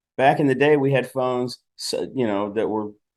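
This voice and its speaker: A man with an unremarkable speaking voice talks at a medium pitch and moderate pace, with ordinary pitch variation over a quiet background. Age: 60s. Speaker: pro bodybuilder and fitness model. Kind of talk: casual interview. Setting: video call on laptop.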